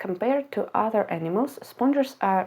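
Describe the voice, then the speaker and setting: A dark, mellow tone with a non-native accent, lively intonation and a moderate pace. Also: woman. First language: not English. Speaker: science educator. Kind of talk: educational explainer.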